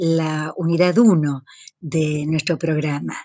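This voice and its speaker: Her tone is dark and mellow. This woman is heard against a quiet background. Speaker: university teacher. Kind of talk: lecture. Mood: warm, smiling. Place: home room. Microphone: webcam.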